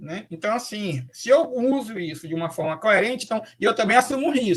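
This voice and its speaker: A high-pitched man at a moderate pace, with very wide pitch swings and big swings in loudness. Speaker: professor, lecturer on AI and special education. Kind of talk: online lecture. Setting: live online talk. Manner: hesitant, with fillers.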